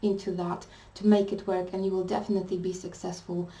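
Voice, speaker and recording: A woman with a non-native accent speaks at a fairly quick pace in a dark, mellow tone. Room echo is audible. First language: not English. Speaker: tarot reader. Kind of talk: tarot reading monologue. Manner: hesitant, many fillers.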